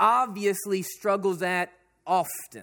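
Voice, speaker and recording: A man's raised, projected voice with a bright, sharp tone at a fairly slow pace, in a very clean recording with a silent background. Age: 40s. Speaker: pastor. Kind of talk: sermon.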